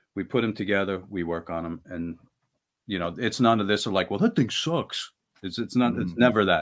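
Using a plain, everyday voice, a man talks at a fairly quick pace in a fairly low pitch with ordinary pitch variation. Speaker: band guitarist. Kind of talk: casual interview chat.

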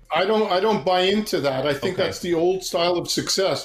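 A high-pitched man's voice with ordinary pitch variation and audible room echo. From Montreal, Quebec. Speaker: meditation and leadership coach, former monk. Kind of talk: casual interview.

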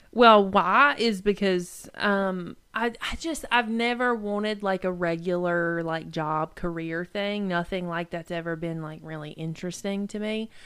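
At a fairly slow pace with hardly any pauses, a woman speaks in a North Carolina accent with a medium pitch and ordinary pitch variation. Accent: US Southern (North Carolina). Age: 20s. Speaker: podcast co-host. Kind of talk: casual chat.

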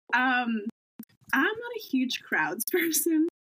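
Here is a woman's voice. Her speech carries an American accent. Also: dry, close sound with no echo. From Massachusetts (Cape Cod). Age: 20s. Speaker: vlogger and nurse. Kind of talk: casual interview. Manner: animated.

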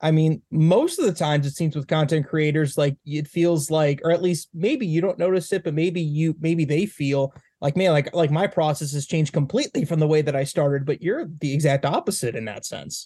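With an American accent, a man with a fairly high pitch and a dark, mellow tone talks at a fairly quick pace with hardly any pauses and ordinary pitch variation, in a dry, close sound with no echo. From Northwest Indiana. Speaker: podcast host. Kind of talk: casual chat; podcast introduction. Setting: video call.

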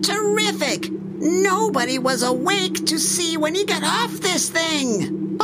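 Over loud background noise, a man does a put-on character voice pitched high, speaking fairly slowly at a very even loudness. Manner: indignant, exasperated.

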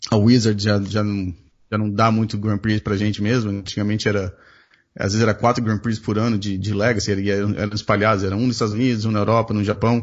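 A man with fairly low pitch speaks at a very fast pace in monotone, flat intonation. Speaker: podcast host. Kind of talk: casual chat.

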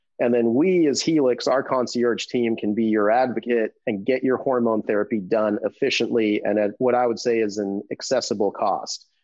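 This man has an unremarkable speaking voice, medium in pitch, with ordinary pitch variation at a moderate pace. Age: 40s. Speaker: hormone therapy business owner. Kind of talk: casual interview.

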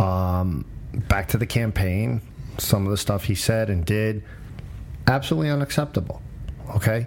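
There is noticeable background noise as a man with a fairly low pitch and lively intonation talks at a moderate pace, with long, frequent pauses. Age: 50s. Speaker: political commentator, podcast host. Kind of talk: casual debate.

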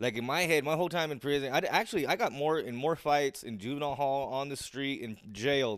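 A man's normal speaking voice with an American accent, fairly high in pitch, at a moderate pace with ordinary pitch variation, on a very clean recording with a silent background. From Southern California. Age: 30s. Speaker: guest, former prisoner and community volunteer. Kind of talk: casual chat.

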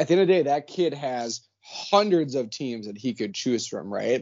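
In an Upper Midwest accent, a man of medium pitch talks at a fairly slow pace with lively intonation. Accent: Upper Midwest American. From Minnesota. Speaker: hockey coach and social media creator. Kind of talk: casual chat.

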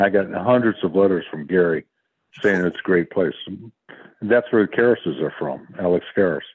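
Speaking at a moderate pace, a man has a very deep, low voice. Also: ordinary pitch variation. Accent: American. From Detroit, Michigan. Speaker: retired football player. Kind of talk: casual interview. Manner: halting.

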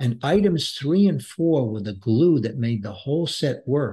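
With an American accent, a man speaks in a somewhat breathy, dark, mellow tone with lively intonation against a quiet background. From Brooklyn, New York. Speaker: business author and former executive. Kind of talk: podcast interview.

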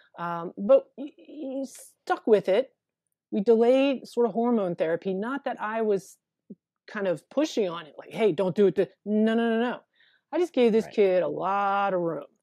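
Against a quiet background, a woman talks at a moderate pace in an ordinary speaking voice. Her intonation is lively, her loudness swings widely, and the sound is dry and close, with no echo. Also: fairly high pitch for a woman. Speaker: therapist. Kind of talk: interview.

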